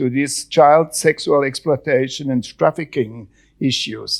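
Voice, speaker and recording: Heard in a very clean recording with a silent background, the speaker has a Swiss German accent, a fairly slow pace and ordinary pitch variation. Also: man. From German-speaking Switzerland. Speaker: panel moderator. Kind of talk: panel moderation. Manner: halting.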